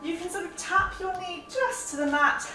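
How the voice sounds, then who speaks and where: Clear music plays behind a woman using a raised, projected voice. Her voice carries audible room echo. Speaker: fitness instructor. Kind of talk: workout tutorial. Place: home room. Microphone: camera far.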